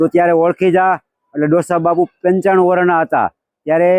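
In a dry, close sound with no echo, a man speaks at a high pitch with fairly even intonation. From Saurashtra, Gujarat, India. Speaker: temple volunteer. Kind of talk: oral history storytelling.

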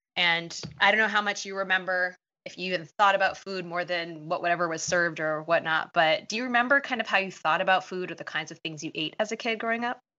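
Talking at a very fast pace, a woman at medium pitch shows ordinary pitch variation and big swings in loudness. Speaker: podcast host, dietitian and running coach. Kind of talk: podcast interview.

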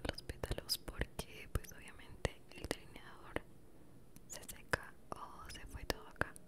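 A woman's whisper moves along at a very slow pace. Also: big swings in loudness. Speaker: ASMR creator. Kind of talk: ASMR makeup tutorial. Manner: whispered. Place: home room. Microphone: studio mic.

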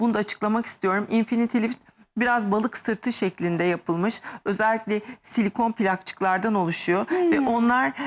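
At a moderate pace, a woman speaks in an animated tone with a fairly high pitch, ordinary pitch variation and very even loudness. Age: 50s. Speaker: medical aesthetics doctor. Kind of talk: TV talk show interview.

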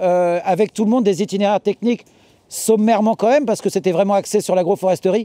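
High-pitched male voice with a dark, mellow tone and ordinary pitch variation, dry with no echo against a quiet background. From Normandy, France. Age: 40s. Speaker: market gardener. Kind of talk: farm tour talk.

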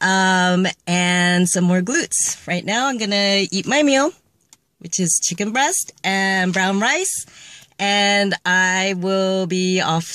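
Very slowly, a woman speaks in a dry, echo-free sound with a quiet background. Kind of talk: casual vlog chat. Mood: cheerful and upbeat. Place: car. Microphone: phone near.

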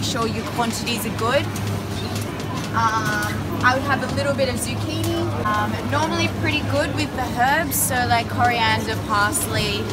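Music plays in the background. The pace is moderate. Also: woman. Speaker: vlogger. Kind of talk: casual vlog chat. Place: shop. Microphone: phone near.

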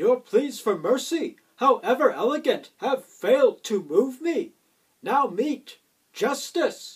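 At a fairly slow pace, a man talks with an extremely high pitch. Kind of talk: comic overacting, heroic declamation. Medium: comedy sketch.

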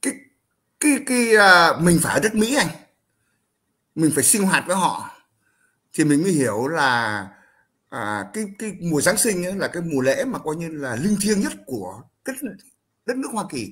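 Long, frequent pauses break up this fairly slow delivery. The bright, sharp voice makes very wide pitch swings over a quiet background. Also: man, high pitch for a man. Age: 70s. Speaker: Vietnamese-American elder; guest commentator. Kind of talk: casual chat. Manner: halting, repetitive. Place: home room. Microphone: headset.

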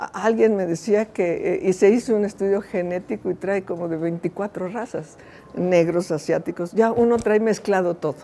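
A woman speaks fairly slowly in a dark, mellow tone, with ordinary pitch variation. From Mexico, Veracruz. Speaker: engineering researcher. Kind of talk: lecture. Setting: stage with audience. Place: classroom.

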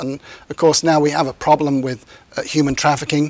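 Very fast speech in a British accent. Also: man. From England. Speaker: criminal justice professor, former police officer. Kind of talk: interview answer. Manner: hesitant, many fillers. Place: studio. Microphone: lapel.

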